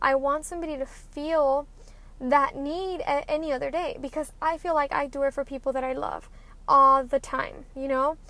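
At a moderate pace, a woman speaks in a high, raised and projected voice with monotone, flat intonation. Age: 20s. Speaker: podcast host. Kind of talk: casual monologue.

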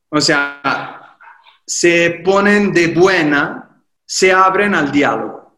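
With audible room echo around him, a man with a high voice talks at a very slow pace with ordinary pitch variation. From Italy, Livorno (Tuscany). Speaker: painter and actor. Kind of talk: casual interview.

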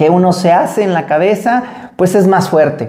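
With a Mexican accent, a man speaks at a high pitch and a moderate pace, using a dark, mellow tone and ordinary pitch variation. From Mexico. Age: 40s. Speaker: podcast host and marathon runner. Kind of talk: solo podcast monologue.

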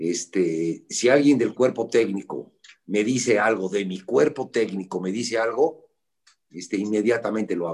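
A man talks at a fairly slow pace. His pitch is fairly low, with ordinary variation. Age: 60s. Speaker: football coach. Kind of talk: interview. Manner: halting, with frequent repetitions.

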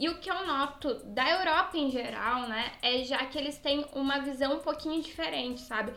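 A woman talks at a moderate pace and a high pitch while noticeable background noise carries on. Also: ordinary pitch variation, hardly any pauses. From southern Brazil, Rio Grande do Sul. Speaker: podcast co-host. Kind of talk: casual chat; news reading.

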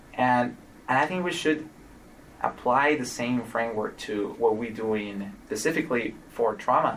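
A man at medium pitch with a Spanish accent, ordinary pitch variation and a fairly slow pace. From Colombia, Cali. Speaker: trauma outcomes physician scientist. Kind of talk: interview conversation.

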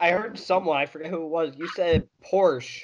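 Here is a man with a plain, everyday voice, fairly high in pitch and with an American accent. He keeps a moderate pace. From Colorado, US. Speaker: automotive writer. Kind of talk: casual chat.

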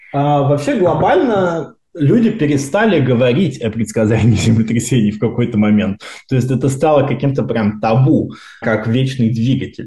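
Somewhat breathy, a man speaks at a medium pitch in a dark, mellow tone with lively intonation. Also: moderate pace. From Russia, Moscow region. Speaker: seismology researcher. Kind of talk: casual interview.

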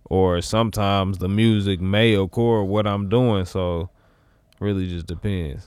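A man's fairly low-pitched voice at a fairly slow pace, with fairly even intonation. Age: 30s. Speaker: musician and actor. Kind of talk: casual chat.

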